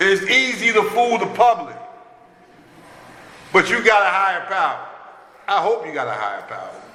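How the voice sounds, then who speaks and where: A man uses a raised, projected voice with a high pitch and fairly even intonation at a fairly slow pace. Audible room echo and noticeable background noise are present. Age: 60s. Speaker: recovering addict sharing at a recovery meeting. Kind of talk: recovery meeting share.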